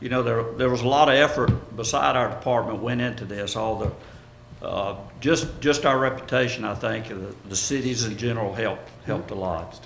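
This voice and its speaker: Over noticeable background noise and audible room echo, a man with a Georgia accent talks at a fairly quick pace, his pitch medium with ordinary variation. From Georgia, US South. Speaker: city electric department head. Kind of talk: council presentation. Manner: halting, many fillers.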